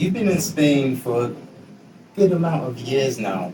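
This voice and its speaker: Over music in the background, a man speaks at a fairly slow pace with very wide pitch swings and audible room echo. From England. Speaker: podcast host. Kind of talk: interview.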